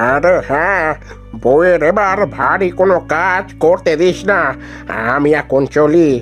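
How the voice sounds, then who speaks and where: Clear music plays in the background as a man uses a cartoonish character voice, high in pitch and fairly slow in pace. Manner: hearty, familiar.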